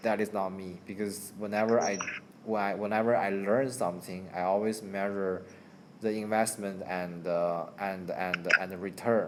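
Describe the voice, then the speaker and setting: Amid audible room echo, a man with a Chinese accent and a fairly low pitch speaks at a moderate pace in a monotone, flat intonation. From China. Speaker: channel owner chatting with a friend. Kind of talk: casual chat. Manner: halting, many repetitions.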